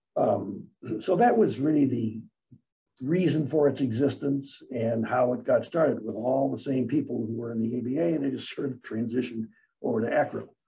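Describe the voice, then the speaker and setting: At a moderate pace, a man with an American accent speaks at medium pitch in a somewhat breathy voice with a dark, mellow tone and ordinary pitch variation. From US Midwest, east side of Detroit. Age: 80s+. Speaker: real estate lawyer. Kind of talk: interview.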